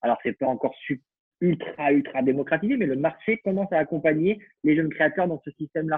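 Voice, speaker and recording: A man's fairly high-pitched, fairly quick delivery in an ordinary speaking voice. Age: 30s. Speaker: fashion association co-founder and digital marketing consultant. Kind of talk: casual interview.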